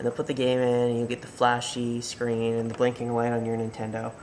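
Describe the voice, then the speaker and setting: A man mumbling at a medium pitch, with noticeable background noise. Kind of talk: tutorial talk to camera. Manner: hesitant, mumbling with pauses.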